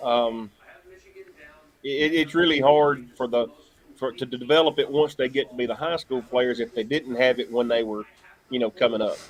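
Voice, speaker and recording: With long, frequent pauses, a man with a Southern US accent talks at a medium pitch and fairly even intonation. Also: moderate pace. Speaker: local sports announcer. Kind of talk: casual chat. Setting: live stream.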